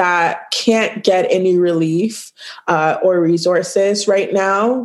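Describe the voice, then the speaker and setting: Against noticeable background noise, a woman with a Toronto accent speaks with fairly even intonation. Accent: Canadian (Toronto). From Toronto, Canada (Scarborough); born in Ghana, childhood in Virginia. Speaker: food business owner. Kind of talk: casual interview. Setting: call.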